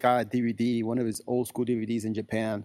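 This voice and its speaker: At a moderate pace, a man talks in a medium pitch. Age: 30s. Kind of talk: interview. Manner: halting, many fillers.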